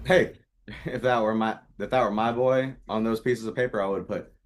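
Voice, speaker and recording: A man talks at a moderate pace with medium pitch and ordinary pitch variation. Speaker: podcast co-host. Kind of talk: casual chat. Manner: projects loudly.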